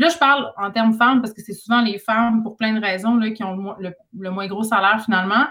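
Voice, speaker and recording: A woman's fairly high voice, an ordinary speaking voice, with fairly even intonation. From Quebec, Saguenay (Jonquière). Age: 30s. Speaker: author and radio host. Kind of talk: casual chat.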